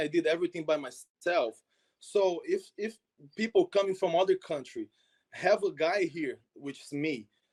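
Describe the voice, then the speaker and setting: A man speaks with a Portuguese accent at a moderate pace, with a high pitch and ordinary pitch variation. The sound is dry and close, with no echo. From Brazil, Minas Gerais. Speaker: soccer exchange program founder. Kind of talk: interview.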